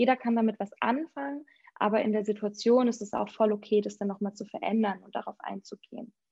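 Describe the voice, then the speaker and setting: A woman's fairly high, somewhat breathy voice with a dark, mellow tone. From Schleswig-Holstein, near Preetz. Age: 30s. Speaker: youth volunteer program coordinator, former teacher. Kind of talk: podcast interview.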